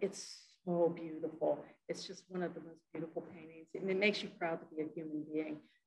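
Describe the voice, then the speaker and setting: A somewhat breathy woman's voice, fairly low in pitch, fairly quick and monotone with flat intonation, against noticeable background noise. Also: big swings in loudness. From Hawaii. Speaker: poet and English professor; poet, English professor. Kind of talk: lecture with poetry reading. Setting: library event with audience. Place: hall. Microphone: handheld.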